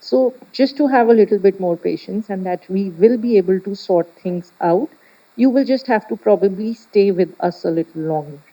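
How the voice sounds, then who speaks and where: A dark, mellow tone with lively intonation at a moderate pace, in a dry, close sound with no echo. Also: woman, medium pitch for a woman. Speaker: doctor on seminar panel. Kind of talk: panel discussion. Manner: loud. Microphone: microphone problem.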